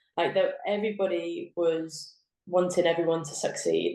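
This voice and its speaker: A woman speaks with a southern English accent. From southern England. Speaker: professional footballer. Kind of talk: podcast interview. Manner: casual, filler-heavy.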